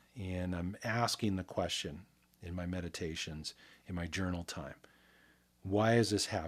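A man in a calm, relaxed tone. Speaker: sound and energy healing expert. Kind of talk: guided meditation; interview.

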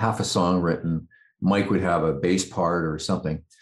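The background is silent and the recording very clean as a man speaks with a very deep, low pitch. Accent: western Canadian. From Canada, Vancouver area. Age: 60s. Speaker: rock keyboardist. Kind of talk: interview.

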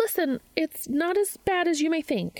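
A put-on character voice speaks fairly slowly with lively intonation and a slightly mellow tone. The sound is dry and close with no echo. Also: woman, extremely high pitch for a woman.

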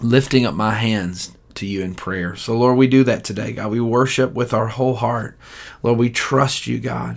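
In a plain, everyday voice, a man speaks at a moderate pace and medium pitch with fairly even intonation. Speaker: church livestream devotional leader. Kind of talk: fervent prayer. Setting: online livestream. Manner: earnest, heartfelt, pleading; warm, encouraging.

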